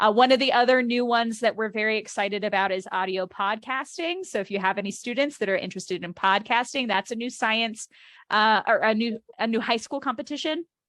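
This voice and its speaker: This woman has an unremarkable speaking voice, fairly high in pitch with ordinary pitch variation. She talks at a fairly quick pace with hardly any pauses. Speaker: youth organization state coordinator. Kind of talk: informational webinar presentation. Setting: video call webinar.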